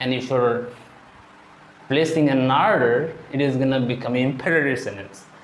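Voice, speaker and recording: A man with a medium-pitched voice speaks at a moderate pace and ordinary pitch variation, with audible room echo and noticeable background noise around him. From India, Odisha. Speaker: English teacher. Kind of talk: tutorial.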